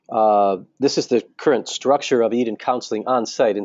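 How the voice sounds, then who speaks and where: A man speaks with monotone, flat intonation. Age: 60s. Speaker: marriage counselor. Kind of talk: online training webinar. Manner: halting, many fillers.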